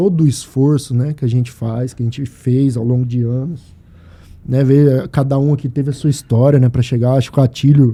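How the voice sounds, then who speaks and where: A man's somewhat breathy, dark, mellow voice in a monotone, flat intonation. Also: medium pitch for a man, moderate pace. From Brazil, Mato Grosso (Sinop). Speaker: podcast host. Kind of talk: casual chat.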